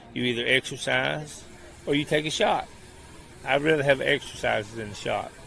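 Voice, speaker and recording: A man with an Appalachian accent at a moderate pace, with ordinary pitch variation and long, frequent pauses. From eastern Kentucky, Appalachia. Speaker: walking program organizer. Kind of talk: radio interview. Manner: casual.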